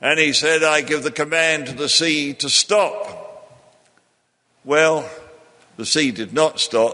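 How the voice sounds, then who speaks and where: The pace is very slow, with long, frequent pauses. Pitch varies in an ordinary way. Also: man, fairly high pitch for a man. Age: 80s+. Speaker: preacher. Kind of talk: sermon.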